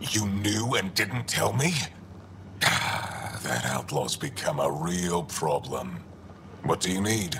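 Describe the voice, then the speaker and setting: Clear background noise runs under a put-on character voice. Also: man, very deep, low pitch for a man, fairly slow pace. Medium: machinima. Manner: blunt, terse.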